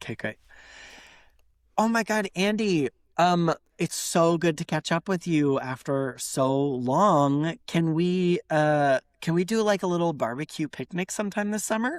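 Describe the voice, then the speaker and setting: Fairly slow, lively speech in an American accent, with a dry, close sound with no echo and a very clean recording against a silent background. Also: woman, fairly low pitch for a woman. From United States. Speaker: podcast co-host. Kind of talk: casual chat. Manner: animated.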